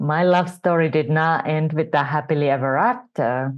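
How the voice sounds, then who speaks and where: Speaking at a fairly slow pace with a Finnish accent, a woman uses a very deep, low pitch and ordinary pitch variation. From Finland. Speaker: entrepreneurship coach. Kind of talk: interview testimony.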